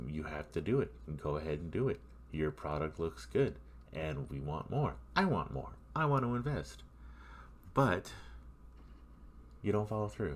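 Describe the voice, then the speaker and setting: A man talks at a moderate pace with vocal fry, very wide pitch swings, and long, frequent pauses. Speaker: gamer. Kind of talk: gameplay commentary. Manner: casual, rambling.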